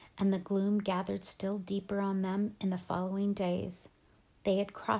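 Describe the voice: The reading aloud is plain. Nothing is added beyond reading the text.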